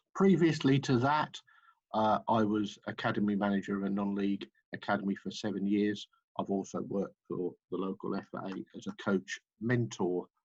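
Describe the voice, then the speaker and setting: A man talks with an English accent at a moderate pace. The sound is dry and close with no echo, and his pitch varies normally. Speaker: football club manager and coach. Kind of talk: webinar presentation. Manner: hesitant, many fillers.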